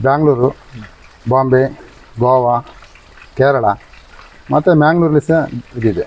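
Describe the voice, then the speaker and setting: A man talks with ordinary pitch variation. Noticeable noise sits in the background. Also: medium pitch for a man. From Dakshina Kannada, coastal Karnataka (family from Kerala). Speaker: farmer. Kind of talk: interview.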